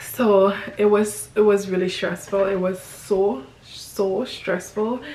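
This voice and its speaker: Noticeable background noise and audible room echo accompany a woman speaking at a medium pitch. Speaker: family vlogger. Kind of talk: casual storytime vlog. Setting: at home, filming by window light. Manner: halting, many fillers.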